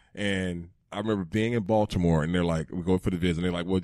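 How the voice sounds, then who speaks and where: An American-accented man talks at a very fast pace in a very deep, low voice with ordinary pitch variation. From Georgia, US South. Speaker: former NFL player. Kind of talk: casual chat. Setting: studio. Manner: animated.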